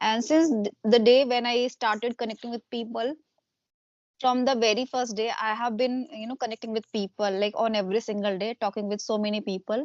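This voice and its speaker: A woman with an Indian accent speaks at a fairly quick pace with fairly even intonation. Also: dry, close sound with no echo. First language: Hindi. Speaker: homemaker and YouTuber. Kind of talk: casual interview conversation. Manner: hesitant, many fillers.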